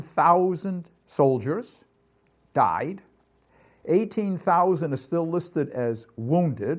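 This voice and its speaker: On a very clean recording with a silent background, a high-pitched man with a Boston accent talks with lively intonation. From Boston, Massachusetts. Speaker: war veteran. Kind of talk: testimony.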